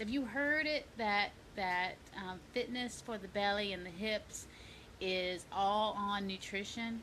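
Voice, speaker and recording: Speaking at a very slow pace, a woman holds a medium pitch. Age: 50s. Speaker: fitness coach. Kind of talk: casual vlog tips. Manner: animated.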